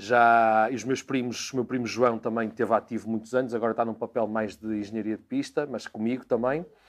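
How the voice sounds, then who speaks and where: Against a quiet background, a man talks at a fairly quick pace in a medium pitch with monotone, flat intonation and hardly any pauses. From Portugal, Porto. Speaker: racing driver. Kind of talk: interview monologue. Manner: hesitant, repeats words.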